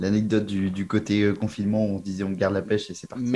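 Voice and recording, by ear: Flat and monotone, a man talks at a very fast pace. His pitch is fairly low.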